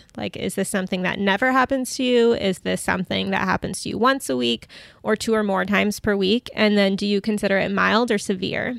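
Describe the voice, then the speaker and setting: A woman's unremarkable speaking voice at a medium pitch and fairly quick pace, dry and close with no echo, in a very clean recording with a silent background. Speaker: dietitian. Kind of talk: interview conversation. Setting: in person.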